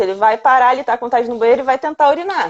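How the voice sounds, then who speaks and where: A woman is speaking. Her pitch is high. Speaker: veterinarian. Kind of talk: live-stream lecture. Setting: live stream.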